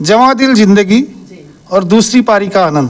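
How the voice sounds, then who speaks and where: High-pitched man with ordinary pitch variation amid noticeable background noise. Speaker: senior citizens' group organizer. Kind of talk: interview at community event.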